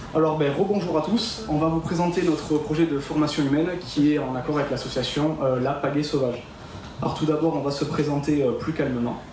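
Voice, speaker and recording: A man's fairly high voice comes through with audible room echo and noticeable noise behind it. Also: fairly even intonation, moderate pace. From France, Landes (Dax). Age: 20s. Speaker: student project leader. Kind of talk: student presentation.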